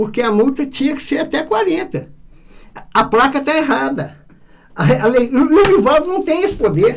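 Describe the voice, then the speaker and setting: At a moderate pace, a man speaks with an extremely high pitch and very wide pitch swings. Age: 70s. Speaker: public prosecutor. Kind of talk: radio interview. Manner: halting, many repetitions.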